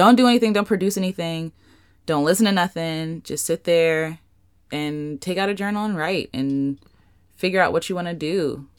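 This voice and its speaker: A woman speaks in an ordinary speaking voice, pitched fairly low. Her pace is moderate and her pitch varies in an ordinary way. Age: 20s. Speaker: podcast co-host, singer and artist. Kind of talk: casual chat.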